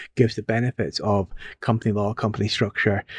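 In a Scottish accent, a man with a fairly low voice talks very fast, the sound dry and close with no echo in a very clean recording with a silent background. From Scotland. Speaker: community garden manager. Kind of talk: podcast interview.

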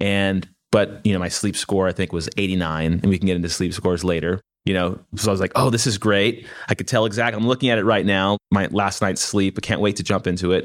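Speaking at a fairly quick pace, a man with a fairly low pitch and fairly even intonation has a plain, everyday voice. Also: very clean recording, silent background. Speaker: podcast host. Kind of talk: interview conversation.

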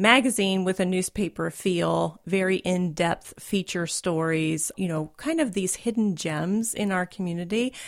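A woman speaks at medium pitch in a normal speaking voice, at a fairly slow pace with hardly any pauses and ordinary pitch variation, on a very clean recording with a silent background. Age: 50s. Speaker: writer and recreational runner. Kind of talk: interview. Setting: studio.

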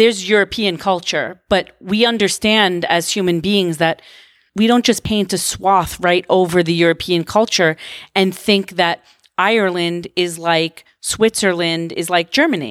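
An ordinary speaking voice with an American accent talks at a fairly slow pace, with ordinary pitch variation and very even loudness, in a very clean recording with a silent background and a dry, close sound with no echo. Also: woman, medium pitch for a woman. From Long Island, New York. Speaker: artist and gallery owner. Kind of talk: interview.

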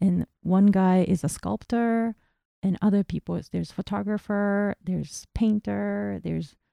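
A woman's dark, mellow voice at medium pitch, dry and close with no echo, very clean with a silent background, ordinary pitch variation and a moderate pace. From Japan, Tokyo. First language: Japanese. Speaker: painter. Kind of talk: interview.

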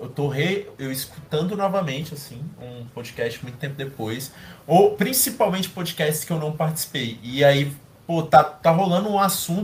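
A man with an unremarkable speaking voice talks at a moderate pace in a fairly high pitch, with lively intonation and big swings in loudness. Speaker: podcast co-host. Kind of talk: casual chat.

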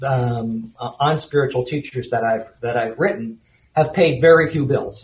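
A man with an American accent speaks at a fairly slow pace. His voice is somewhat breathy. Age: 60s. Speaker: author and editor. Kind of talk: interview. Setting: remote call into studio.

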